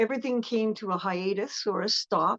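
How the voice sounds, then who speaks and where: In a normal speaking voice, a woman with a fairly high pitch talks with fairly even intonation, the sound dry and close with no echo. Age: 60s. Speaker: rock singer. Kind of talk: interview. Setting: live stream.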